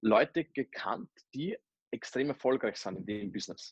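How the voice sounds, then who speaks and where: This is an unremarkable speaking voice from a man. His pitch is medium, with ordinary variation. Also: dry, close sound with no echo. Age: 20s. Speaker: network marketer. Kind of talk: interview. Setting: remote call.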